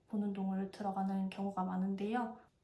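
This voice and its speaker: There is audible room echo. The speaker is a woman. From South Korea, Busan (Gyeongsang). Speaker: vlogger. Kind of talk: casual review monologue.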